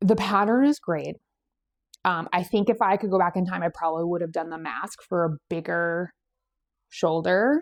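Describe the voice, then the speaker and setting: Recorded very cleanly with a silent background and a dry, close sound with no echo, a woman with a New England accent speaks at a moderate pace and a fairly low pitch, with ordinary pitch variation. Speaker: knitting podcast host. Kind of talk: casual chat. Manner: casual with frequent fillers.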